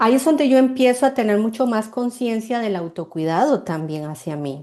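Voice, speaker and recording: Against a quiet background, a woman with a dark, mellow tone speaks at a moderate pace and a fairly high pitch, her pitch swinging very widely. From Costa Rica. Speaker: marketing mentor and artisan cosmetics maker. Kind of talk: interview. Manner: halting, with repetitions and fillers.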